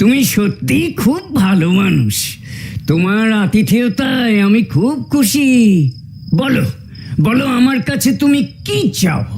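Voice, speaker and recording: This cartoonish character voice sits at a fairly high pitch and moves at a very slow pace. Light background noise can be heard. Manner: warm, gracious.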